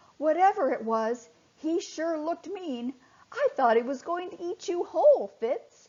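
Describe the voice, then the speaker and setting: Putting on a character voice, a woman speaks at an extremely high pitch and a moderate pace. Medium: read story. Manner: stuttering.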